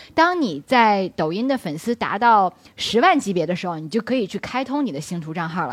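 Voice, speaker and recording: Barely pausing, a woman talks at a fairly quick pace and medium pitch, her pitch swinging very widely. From Beijing, China. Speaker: talent agent and social media strategist. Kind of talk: live public talk with audience.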